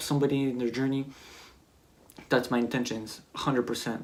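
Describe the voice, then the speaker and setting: Here a man speaks with a Quebec accent at a medium pitch. His intonation is monotone and flat. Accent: French-Canadian accent in English. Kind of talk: personal testimony vlog. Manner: hesitant, searching for words.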